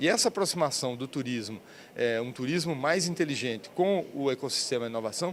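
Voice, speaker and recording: A man with a medium pitch talks fairly quickly, his intonation lively. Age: 60s. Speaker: business agency president. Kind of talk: interview. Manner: halting, many fillers.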